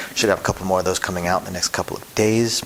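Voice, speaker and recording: Over noticeable background noise, a soft-spoken man talks in a very deep, low pitch with monotone, flat intonation. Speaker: casino dealer and craps channel host. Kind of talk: casual tutorial vlog. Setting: at home, son sleeping upstairs. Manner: soft-spoken, keeping voice low.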